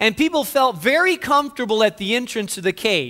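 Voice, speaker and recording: A man's extremely high-pitched voice, bright and sharp in tone, with lively intonation at a moderate pace. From northern Spain. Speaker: pastor. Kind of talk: sermon.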